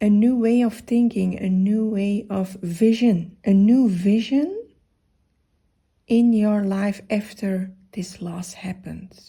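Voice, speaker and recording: Soft-spoken and somewhat breathy, a woman with a medium pitch and a dark, mellow tone speaks very slowly with fairly even intonation. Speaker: funeral director and grief counselor; massage therapist and yoga teacher. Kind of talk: tarot reading to camera. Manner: soft-spoken, gentle.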